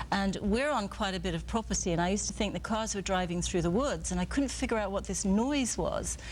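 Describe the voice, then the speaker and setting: A woman with a British accent at a fairly quick pace, with audible room echo. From England. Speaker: photographer and author. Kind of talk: TV interview. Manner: hesitant, many fillers.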